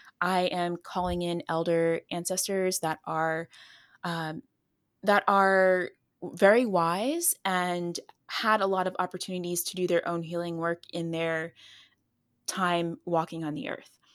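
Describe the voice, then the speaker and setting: A woman speaks with fairly even intonation. The recording is very clean, with a silent background. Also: fairly low pitch for a woman, fairly slow pace. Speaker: herbalist and ancestral healing teacher. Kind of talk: casual chat. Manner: soft-spoken.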